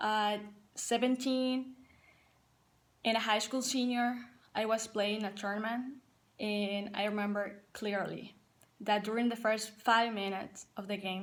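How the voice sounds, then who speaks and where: In a Paraguayan accent, a woman speaks fairly slowly at a fairly high pitch. Her intonation is monotone and flat, with long, frequent pauses. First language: Spanish. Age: 20s. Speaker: college soccer player and assistant coach. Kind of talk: personal testimony to team.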